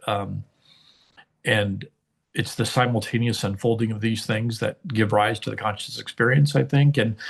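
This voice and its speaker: A man's somewhat breathy voice at a medium pitch, moderate pace and ordinary pitch variation. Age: 60s. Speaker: engineer and artist. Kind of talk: interview conversation. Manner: hesitant, many fillers.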